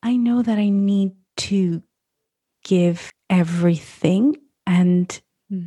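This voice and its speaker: A woman with an American accent speaks in a somewhat breathy, dark, mellow tone at medium pitch with ordinary pitch variation. Her pace is very slow, with long, frequent pauses, and the sound is dry and close with no echo. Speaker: food photographer and podcaster. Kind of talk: interview conversation.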